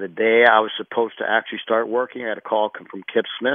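Fairly quick and monotone, a man speaks at medium pitch with flat intonation. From Pittsburgh, US. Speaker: football strength coach. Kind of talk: radio interview.

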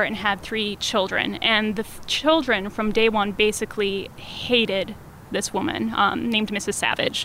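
A woman with an American accent speaks at a fairly high pitch and a moderate pace. She barely pauses, over noticeable background noise. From Wisconsin, US Midwest. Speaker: community theater event coordinator. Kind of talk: casual interview. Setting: outdoors on a terrace.

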